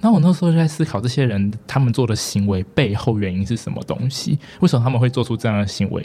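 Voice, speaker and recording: This man speaks at a very fast pace. He uses lively intonation and hardly any pauses. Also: medium pitch for a man. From Taiwan, Taipei. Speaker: student union president. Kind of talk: interview.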